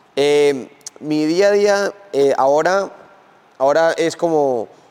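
A man talks with lively intonation against noticeable background noise. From Spain. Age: 20s. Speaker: professional MMA fighter. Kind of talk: interview. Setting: gym.

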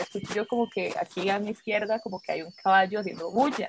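A woman rattles off her words at a very fast speed. Behind her, background noise is noticeable. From Costa Rica, Turrialba. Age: 20s. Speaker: witch and punk musician. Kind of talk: casual chat.

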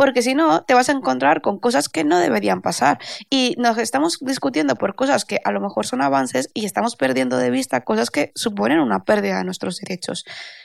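Vocal fry marks a woman's very deep, low voice as she talks at a fairly quick pace with hardly any pauses and very wide pitch swings, the sound dry and close with no echo. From Spain, Valencia. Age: 30s. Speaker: intellectual property lawyer. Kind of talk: casual interview.

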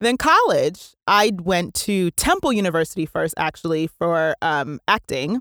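A woman's medium-pitched voice, lively in intonation, with hardly any pauses, in a dry, close sound with no echo on a very clean recording with a silent background. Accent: American. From New Jersey. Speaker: actress and voiceover artist. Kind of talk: casual chat. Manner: animated.

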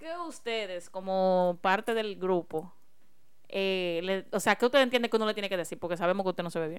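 This woman has a plain, everyday voice at medium pitch with ordinary pitch variation. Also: fairly quick pace. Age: 20s. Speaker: podcast co-host. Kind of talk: casual chat.

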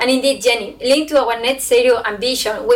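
A woman speaks with a Spanish accent and ordinary pitch variation. Noticeable background noise runs underneath. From southern Spain. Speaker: brewing company sustainability manager. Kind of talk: panel discussion.

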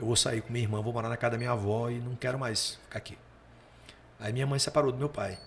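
A man talks at a very fast pace in a medium pitch. His voice is somewhat breathy. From Paraíba, Brazilian Northeast. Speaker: comedian. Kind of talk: casual chat.

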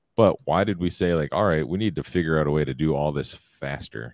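Very fast speech with vocal fry and ordinary pitch variation, dry and close with no echo. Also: man. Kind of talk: casual chat. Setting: live stream with chat.

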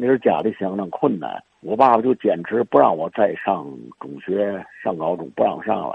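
A man's fairly low voice moves along at a moderate speed. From Tianjin. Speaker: pharmacy founder's grandson. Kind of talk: oral history interview. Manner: halting.

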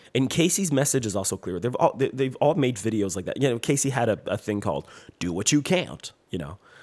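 The speech runs at a very fast pace, with very wide pitch swings and vocal fry. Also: man, medium pitch for a man. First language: French. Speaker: podcaster and musician. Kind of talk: solo podcast monologue. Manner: casual; hesitant.

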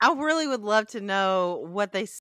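Bright and sharp in tone, a woman with a Southern US accent speaks with very wide pitch swings. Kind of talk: casual chat.

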